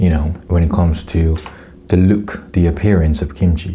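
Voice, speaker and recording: Someone with a non-native accent talks at a moderate pace. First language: Korean. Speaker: food YouTuber. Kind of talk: casual taste test commentary. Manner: halting, with self-corrections.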